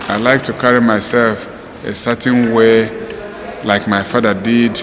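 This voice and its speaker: The speech is fairly slow with monotone, flat intonation. Noticeable background noise sits behind it. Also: man, medium pitch for a man. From Nigeria. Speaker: community leader and writer. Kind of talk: documentary interview. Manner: halting.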